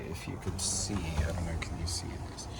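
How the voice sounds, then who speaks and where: Audible room echo and noticeable background noise surround a man as he speaks. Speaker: vlogger. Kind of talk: casual vlog monologue. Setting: in a parked van.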